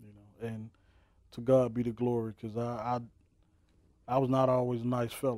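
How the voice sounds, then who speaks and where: In a dark, mellow tone, the voice moves at a fairly quick pace with monotone, flat intonation, big swings in loudness and long, frequent pauses, all dry with no echo against a quiet background. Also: man. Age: 40s. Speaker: minister. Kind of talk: testimony. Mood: earnest personal testimony. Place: studio.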